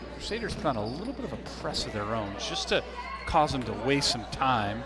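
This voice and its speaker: Noticeable background noise and audible room echo accompany a man talking fairly quickly. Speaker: sports play-by-play announcer. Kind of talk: live commentary. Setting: gym with crowd.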